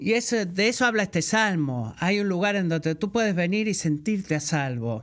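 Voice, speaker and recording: In a very clean recording with a silent background, a man with a Puerto Rican accent and a high pitch talks at a moderate pace with lively intonation, very even loudness and hardly any pauses. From Puerto Rico. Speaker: guest preacher. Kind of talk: sermon.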